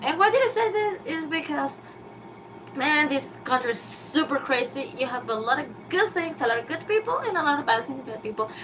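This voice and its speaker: A woman with a Spanish accent, high-pitched, very wide pitch swings, a fairly quick pace and noticeable background noise. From Venezuela. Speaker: YouTuber. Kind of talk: casual live stream monologue. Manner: halting, with many fillers.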